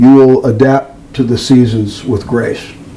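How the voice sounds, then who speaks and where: Over noticeable background noise, a man speaks at a medium pitch with an American accent. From US Midwest, Evanston, Illinois. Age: 70s. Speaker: musician and record producer. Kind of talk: casual interview chat.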